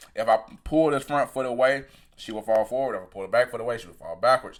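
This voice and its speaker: Here a man talks at a very fast pace with a medium pitch and ordinary pitch variation. His loudness swings widely. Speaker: sprint coach. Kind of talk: technical video breakdown.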